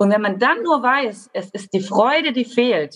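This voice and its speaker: A somewhat breathy voice with lively intonation at a very slow pace. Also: woman. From Baden-Württemberg, Germany. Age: 30s. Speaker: social worker and coach. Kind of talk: podcast interview.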